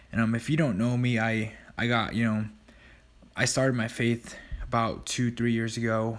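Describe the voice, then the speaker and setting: A soft-spoken man talks at a medium pitch in a monotone, flat way. The recording is very clean, with a silent background. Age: 20s. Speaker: vlogger and gym owner. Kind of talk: casual vlog narration. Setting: recording at night; in a car. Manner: hesitant, many fillers.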